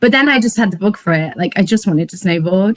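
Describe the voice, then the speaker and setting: A woman talks at a very fast pace, somewhat breathy, at medium pitch. The sound is dry and close, with no echo. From northern England (Peak District). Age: 30s. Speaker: snowboard meetup organiser. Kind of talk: casual chat. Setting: podcast interview.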